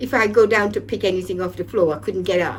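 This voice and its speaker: A woman speaks over noticeable background noise. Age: 70s. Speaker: programme participant. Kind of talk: testimony. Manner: halting.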